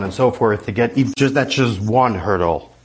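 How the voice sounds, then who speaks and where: A man with an American accent has a normal speaking voice. He keeps a moderate pace with ordinary pitch variation. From New York City (Far Rockaway). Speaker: caller, entrepreneur. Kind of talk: casual chat.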